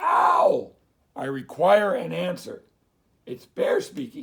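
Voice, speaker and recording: A man in a raspy put-on character voice projects loudly at a high pitch and a very slow pace. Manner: very loud, calling out demandingly.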